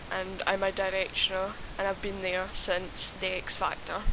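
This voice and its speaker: A woman speaks at a fairly slow pace and a medium pitch. Background noise is noticeable. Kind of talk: casual opinion rant to camera. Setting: home microphone, uneven volume. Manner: hesitant, repeats and stutters.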